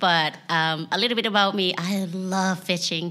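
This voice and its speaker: Speaking in a Thai accent, a woman has a bright, sharp tone and fairly even intonation. She talks at a fairly slow pace on a very clean recording with a silent background. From Thailand, Kalasin province. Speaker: life coach and entrepreneur. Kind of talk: interview.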